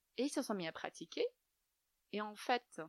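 Dry and close with no echo, a woman's fairly high voice moves at a fairly quick pace through very wide pitch swings. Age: young. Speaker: yoga teacher. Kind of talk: interview. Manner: soft-spoken.

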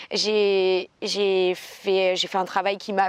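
A woman talks in a medium pitch. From Aix-en-Provence, southern France. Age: 20s. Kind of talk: casual chat.

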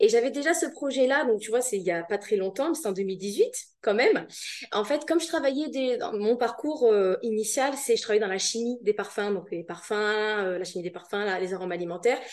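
With an ordinary speaking voice, a woman talks at a fairly quick pace, her fairly high pitch moving in lively intonation. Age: 30s. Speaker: virtual assistant. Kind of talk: casual interview.

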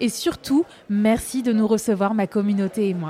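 A woman's fairly high voice is heard with clear background noise behind it. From Paris, France. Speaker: podcast host. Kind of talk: casual interview. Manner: animated.

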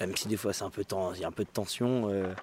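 A man's voice at a fairly low pitch. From Beaujolais, France. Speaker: winegrower's family, grape carrier. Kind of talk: interview. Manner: halting.

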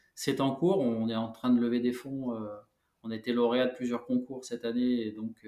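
A man speaks at a moderate pace. His medium pitch carries fairly even intonation. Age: 40s. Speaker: founder of an eco paint brand, former building contractor. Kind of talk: interview. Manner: hesitant, many filler sounds.

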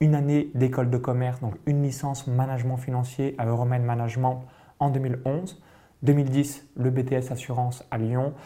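A man with a medium pitch and a dark, mellow tone speaks at a moderate pace. His intonation is monotone and flat. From France, Burgundy countryside. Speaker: entrepreneur and business coach, podcast co-host. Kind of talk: casual chat.

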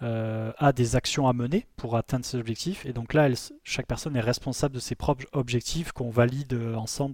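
On a very clean recording with a silent background, a man talks at a fairly quick pace and medium pitch with fairly even intonation and a dry, close sound with no echo. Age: 30s. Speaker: co-founder and COO of a travel media company. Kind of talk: interview. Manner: halting, many repetitions.

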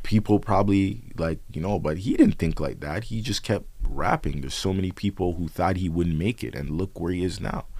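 In a Toronto accent, the speaker talks at a fairly quick pace with ordinary pitch variation and hardly any pauses. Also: man, very deep, low pitch for a man. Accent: Toronto urban English. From Canada, Toronto (Scarborough). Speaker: rapper. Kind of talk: casual chat.

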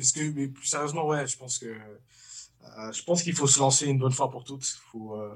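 The man's somewhat breathy voice moves at a fairly quick pace. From Paris suburbs, France. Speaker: comedian. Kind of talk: casual chat. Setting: studio.

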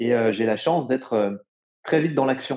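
This is a plain, everyday voice. Its pitch variation is ordinary. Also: man. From France, Jura. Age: 20s. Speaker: entrepreneur, climate startup co-founder. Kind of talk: casual interview. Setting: remote recording. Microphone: poor remote audio quality.

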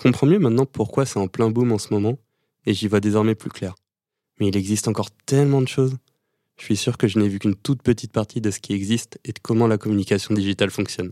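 Very fast and fairly low-pitched, a man speaks with a dark, mellow tone, fairly even intonation and big swings in loudness, on a very clean, dry, close recording with no echo and a silent background. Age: 20s. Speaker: pharmacy student, podcast host. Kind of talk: scripted narration.

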